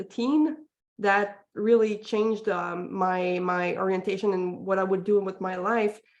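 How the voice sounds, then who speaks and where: A woman with a Quebec accent speaks at a medium pitch and a fairly slow pace. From Quebec, Montreal. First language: French. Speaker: parenting coach. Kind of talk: interview. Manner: hesitant, many fillers.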